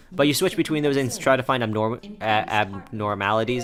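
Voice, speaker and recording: A man speaks at a moderate speed while music plays in the background. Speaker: let's play gamer. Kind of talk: gameplay commentary. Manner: halting, many fillers.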